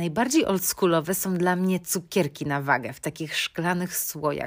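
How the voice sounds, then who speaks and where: In a very clean recording with a silent background, a woman with a fairly low pitch speaks at a moderate pace in a plain, everyday voice. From Poland, Bydgoszcz. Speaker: podcast host. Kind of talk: casual solo podcast monologue.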